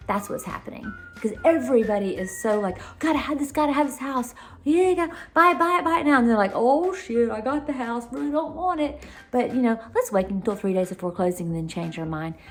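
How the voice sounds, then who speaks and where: A high-pitched woman with a Southern US accent talks at a fairly quick pace, animated in tone, with very wide pitch swings. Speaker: realtor. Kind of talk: casual advice vlog. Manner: fast.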